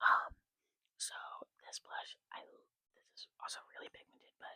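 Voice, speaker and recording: A woman is whispering, with a dry, close sound and no echo. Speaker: makeup ASMR creator. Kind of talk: casual talk to camera, makeup collection show-and-tell. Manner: casual, chatty, conversational; lo-fi ASMR style.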